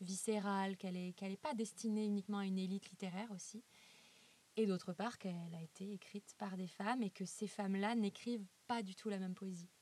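Somewhat breathy, a woman speaks at medium pitch and a fairly quick pace with fairly even intonation. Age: 30s. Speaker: illustrator. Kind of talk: interview.

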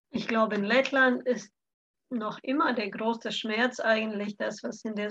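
At a fairly slow pace, a woman with a Latvian accent speaks in a fairly high pitch with fairly even intonation. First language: Latvian (speaking German). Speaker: cultural mediator. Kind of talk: casual chat.

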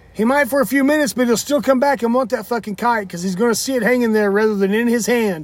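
At a very fast pace, a man speaks in an extremely high pitch with ordinary pitch variation. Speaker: podcast host. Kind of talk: casual banter, profane. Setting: outdoors at a park. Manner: loud.

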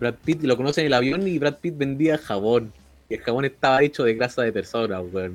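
Speaking in a Chilean accent, a man goes at a fairly quick pace with a medium pitch and ordinary pitch variation. His loudness swings widely. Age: 20s. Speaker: podcast co-host. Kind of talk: casual chat, film review.

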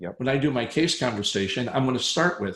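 Talking at a fairly quick pace, a man of medium pitch sounds somewhat breathy, with ordinary pitch variation. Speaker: dentist turned speaker and consultant. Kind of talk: casual chat. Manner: broad expressive range.

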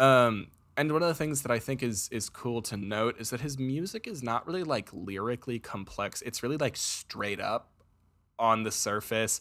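On a very clean recording with a silent background, a man speaks at a moderate pace and a medium pitch in a normal speaking voice. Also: ordinary pitch variation. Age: 20s. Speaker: student sound tech director and podcast host. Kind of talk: casual chat.

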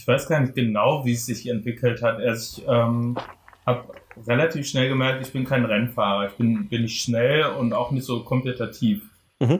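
Over noticeable background noise, the delivery moves at a moderate pace with fairly even intonation. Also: man, medium pitch for a man. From Germany, Frankfurt am Main. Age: 30s. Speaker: photographer. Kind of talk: casual chat.

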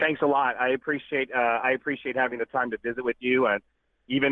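A man with an American accent talks fairly quickly at a medium pitch. He has a plain, everyday voice and fairly even intonation. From Houston, Texas. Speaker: car club leader. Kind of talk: casual phone interview. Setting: phone call.

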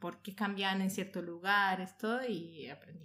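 In a very clean recording with a silent background, a woman speaks at medium pitch with a bright, sharp tone and fairly even intonation. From Colombia, Bogotá. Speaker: audiovisual producer. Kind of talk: casual chat. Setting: at home sharing mate.

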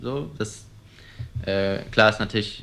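A man with a fairly low pitch speaks at a moderate pace in a bright, sharp tone. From Germany, Cologne. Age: 20s. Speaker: young entrepreneur, car dealer. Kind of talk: interview. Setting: showroom.

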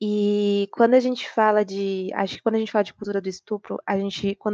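A woman speaks at a medium pitch in a dry, close recording with no echo. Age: 20s. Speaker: obstetrics student. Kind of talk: casual discussion.

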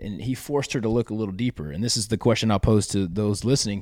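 Energetic and very fast, a man with an American accent speaks at a fairly low pitch on a very clean recording with a silent background. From US South. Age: 30s. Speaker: athlete and motivational speaker. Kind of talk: interview testimony.

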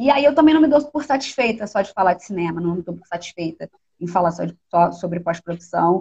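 A woman of medium pitch speaks at a fairly quick pace in a dark, mellow, somewhat breathy tone, with very wide pitch swings. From Rio de Janeiro, North Zone suburb. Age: 30s. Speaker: filmmaker. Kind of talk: interview conversation. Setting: online live stream.

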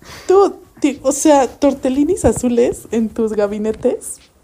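Her tone is dark and mellow. The woman's pitch is high. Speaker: podcast co-host. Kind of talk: casual chat.

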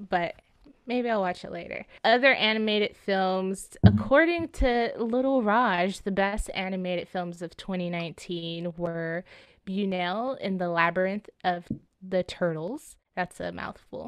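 A woman with medium pitch speaks at a fairly slow pace, her pitch variation ordinary. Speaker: podcast co-host. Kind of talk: casual chat. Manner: animated.

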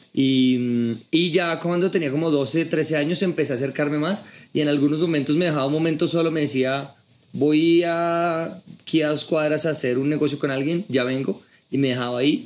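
A man's fairly high voice at a moderate pace with fairly even intonation, on a very clean recording with a silent background. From Colombia, Bogotá. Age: 30s. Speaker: sales training entrepreneur. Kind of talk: casual interview over drinks.

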